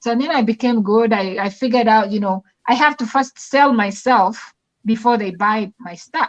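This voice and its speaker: This woman speaks with an African accent and a fairly high pitch. The sound is dry and close, with no echo. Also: ordinary pitch variation, moderate pace. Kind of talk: casual chat. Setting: live stream.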